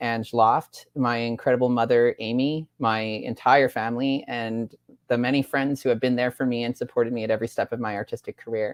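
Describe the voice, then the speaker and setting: Very deep, low-pitched woman's voice at a fairly quick pace, dry and close with no echo. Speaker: award recipient, musician and composer. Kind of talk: acceptance speech. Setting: online event. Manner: fast.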